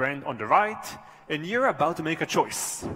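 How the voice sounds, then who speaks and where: Noticeable background noise accompanies a man who speaks at a fairly quick pace. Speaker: professor. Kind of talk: conference talk.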